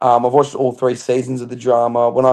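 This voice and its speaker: Australian accent in a man's voice. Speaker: reality TV contestant. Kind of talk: interview.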